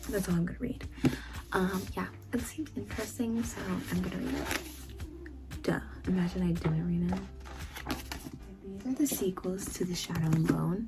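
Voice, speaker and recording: Someone whispers quietly at a moderate pace, with long, frequent pauses. Noticeable background noise sits behind the voice. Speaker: booktuber. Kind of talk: casual book haul vlog. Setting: home recording late at night. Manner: quiet, near-whisper; hesitant, filler words.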